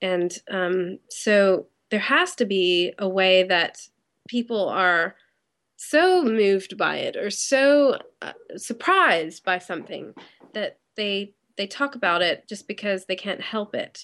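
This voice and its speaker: Ordinary pitch variation at a very slow pace from a woman with a medium pitch. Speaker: web company owner. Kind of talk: casual interview chat. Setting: Skype call.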